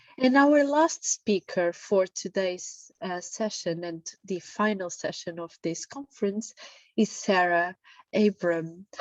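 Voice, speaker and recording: In an Italian accent, a woman speaks at a very slow pace and a medium pitch, her intonation lively and her loudness swinging widely. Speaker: session moderator. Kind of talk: speaker introduction. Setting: online meeting.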